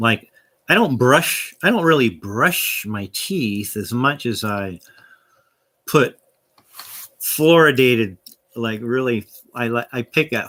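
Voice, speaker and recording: Lively intonation and a bright, sharp tone mark this American accent, broken by long, frequent pauses. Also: man. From US, southern California. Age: 60s. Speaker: vlogger. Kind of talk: casual rambling vlog. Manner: halting, many restarts and fillers.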